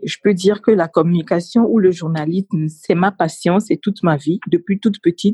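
A somewhat breathy voice with a dark, mellow tone, at a moderate pace with ordinary pitch variation. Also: woman, medium pitch for a woman. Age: 30s. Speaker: communications officer. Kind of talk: interview.

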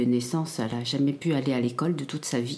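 A woman at a very fast pace, very deep, low pitch and ordinary pitch variation. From Cambodia, raised in France from early childhood. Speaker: academic, genocide survivor. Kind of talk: testimony. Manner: halting, many repetitions and hesitations.

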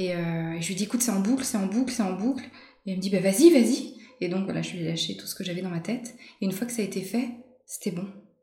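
A woman of medium pitch speaks at a very fast pace with ordinary pitch variation, in audible room echo and noticeable background noise. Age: 40s. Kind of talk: interview. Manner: gentle, soft-spoken.

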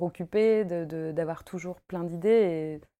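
In a very clean recording with a silent background, a woman with a fairly low pitch and a dark, mellow tone talks at a fairly slow pace with fairly even intonation. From Paris, France. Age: 30s. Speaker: costume maker and embroiderer. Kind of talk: casual interview chat. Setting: at her home.

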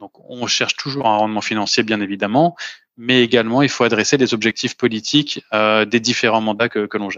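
With an ordinary speaking voice, a man talks at a fairly quick pace, his medium pitch held in fairly even intonation. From Paris, France. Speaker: venture fund investor. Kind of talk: interview.

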